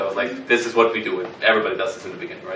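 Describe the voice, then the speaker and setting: Room echo and noticeable background noise surround a man's voice. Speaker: workshop instructor. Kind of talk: workshop lecture. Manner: halting, many fillers and repetitions.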